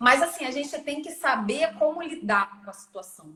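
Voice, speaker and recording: A woman speaks at a fairly slow pace. Her tone is bright and sharp, with lively intonation. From Brazil. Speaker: digital marketing specialist. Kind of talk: podcast interview.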